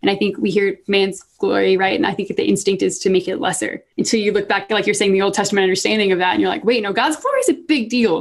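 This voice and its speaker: A woman's very fast, medium-pitched delivery with an American accent, ordinary pitch variation and hardly any pauses. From US South. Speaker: podcast co-host, linguistics student. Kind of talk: casual chat.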